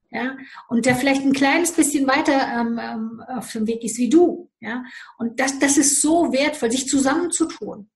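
A woman's high-pitched voice moves along at a fairly slow pace, its pitch varying in an ordinary way. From Romania. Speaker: life coach. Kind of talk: interview.

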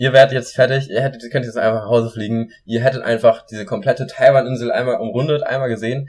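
Somewhat breathy and at medium pitch, a man talks at a very fast pace with fairly even intonation. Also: big swings in loudness. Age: 20s. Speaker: podcast co-host. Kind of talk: casual chat.

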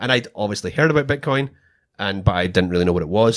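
A man speaks with a Scottish accent. The recording is very clean, with a silent background. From Scotland. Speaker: Bitcoin podcast host, former government procurement contractor. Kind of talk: casual chat.

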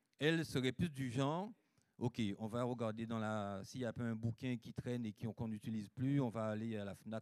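A man speaks in an unremarkable speaking voice, medium in pitch, at a fairly slow pace. The sound is dry and close with no echo, and his pitch variation is ordinary. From Guadeloupe. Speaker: preacher. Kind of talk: sermon. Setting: church.

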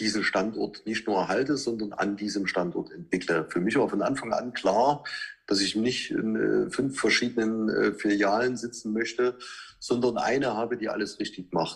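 The pitch variation is ordinary, at a moderate pace. This is a normal speaking voice. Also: man. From Saxony, Chemnitz. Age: 40s. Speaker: car dealership owner. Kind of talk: interview.

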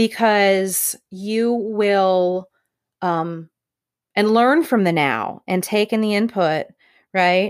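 A woman at medium pitch speaks at a very slow pace, with long, frequent pauses and very even loudness, on a very clean recording with a silent background. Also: ordinary pitch variation. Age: 40s. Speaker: engineering director. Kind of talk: casual conversation interview. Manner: loud, outgoing.

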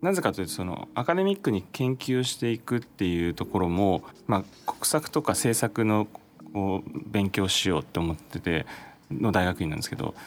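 A man speaks in a plain, everyday voice with a fairly low pitch. His pace is moderate and his intonation lively. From Japan, Chiba. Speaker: startup founder and CEO. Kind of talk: interview.

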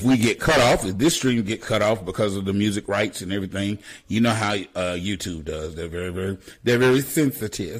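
A man's normal speaking voice, with lively intonation at a fairly quick pace. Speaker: radio host. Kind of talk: radio DJ patter. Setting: live internet radio stream. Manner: upbeat, chatty.

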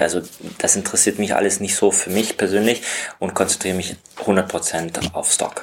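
Very deep, low male voice at a moderate pace, monotone and flat, with noticeable background noise. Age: 30s. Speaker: stock photographer. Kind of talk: interview. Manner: hesitant, with filler sounds.

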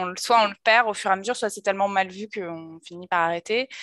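Speaking fairly quickly in a normal speaking voice, a woman uses a medium pitch and ordinary pitch variation, recorded with a dry, close sound and no echo. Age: 30s. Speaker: podcast host. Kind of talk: casual interview chat.

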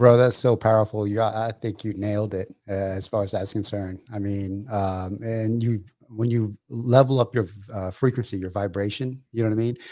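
A man speaks with a plain, everyday voice, fairly low in pitch and fairly even in intonation. His moderate pace comes through on a very clean recording with a silent background. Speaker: podcast co-host, real estate investor. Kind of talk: casual interview.

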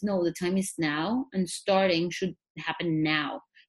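Fairly slow pace from a woman with a non-native accent. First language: not English. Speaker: psychologist. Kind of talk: interview.

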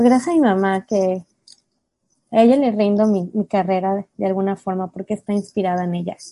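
The sound is dry and close with no echo. A woman speaks at medium pitch with a dark, mellow tone. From Mexico. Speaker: special education therapist. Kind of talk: interview conversation.

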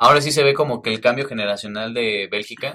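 A man speaks with a Mexican accent in a bright, sharp tone. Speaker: football podcast host. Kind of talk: casual chat.

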